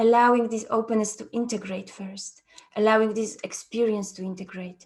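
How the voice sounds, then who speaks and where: Monotone, flat intonation with a Polish accent. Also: woman. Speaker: trauma therapy facilitator. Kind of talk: conference talk. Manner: halting.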